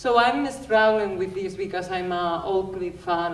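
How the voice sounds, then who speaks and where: A woman with a non-native accent talks at a fairly low pitch with ordinary pitch variation. Audible room echo and noticeable background noise surround her voice. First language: not English. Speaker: audience member at panel talk. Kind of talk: audience question at panel discussion. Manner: halting.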